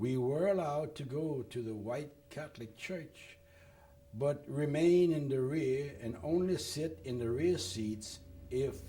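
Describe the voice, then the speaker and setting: With a Louisiana accent, a man talks very slowly with lively intonation amid noticeable background noise and audible room echo. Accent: French-tinged Louisiana. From Louisiana, Lafayette. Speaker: war veteran. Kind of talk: oral history interview. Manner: reading from prepared notes.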